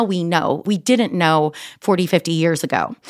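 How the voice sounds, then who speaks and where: In a normal speaking voice, a woman with an American accent speaks at a medium pitch. Her pitch variation is ordinary, and the recording is very clean with a silent background. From New York. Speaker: holistic health coach. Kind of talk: interview.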